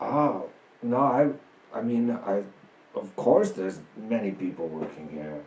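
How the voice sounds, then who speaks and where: Using a put-on character voice, a man speaks at a medium pitch and a fairly slow pace, with long, frequent pauses. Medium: actual play. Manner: terse, halting.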